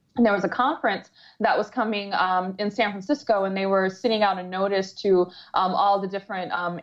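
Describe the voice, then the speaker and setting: In an American accent, a woman with an ordinary speaking voice talks at a fairly quick pace and medium pitch, her intonation fairly even. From Metro Detroit, Michigan. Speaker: entrepreneur and productivity coach. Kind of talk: interview.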